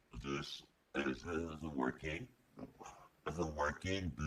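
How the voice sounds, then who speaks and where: Very slowly, a man speaks at a very deep, low pitch with vocal fry. His pitch varies in an ordinary way. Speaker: gamer. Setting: voice chat, usually uses a voice changer.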